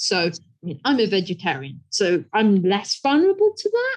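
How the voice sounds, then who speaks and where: Somewhat breathy, a woman with a British accent speaks at a fairly high pitch. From England. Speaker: conservation scientist, professor. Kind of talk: interview.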